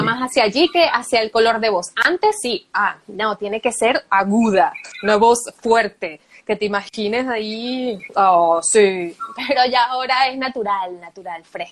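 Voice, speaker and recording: With a normal speaking voice, a woman talks fairly slowly at a fairly high pitch, using ordinary pitch variation. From Venezuela. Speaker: voice-over artist and journalist. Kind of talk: interview answer. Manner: natural, conversational.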